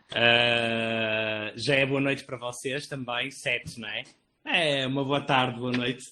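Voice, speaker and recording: A man's medium-pitched voice, monotone and flat in intonation, at a fairly slow pace. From Portugal. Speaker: artist and researcher. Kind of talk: panel talk. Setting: video call.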